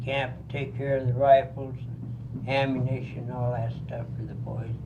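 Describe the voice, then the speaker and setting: Over noticeable background noise and audible room echo, a man with an American accent speaks at a fairly slow pace, medium in pitch, with monotone, flat intonation. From Colorado. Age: 70s. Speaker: war veteran. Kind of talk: oral history interview.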